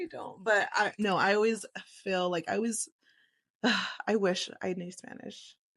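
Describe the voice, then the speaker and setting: Recorded very cleanly with a silent background, a woman with a Texan accent speaks at a moderate pace and medium pitch with ordinary pitch variation, big swings in loudness, and long, frequent pauses. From Texas, Lubbock. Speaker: podcast co-host. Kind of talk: casual chat.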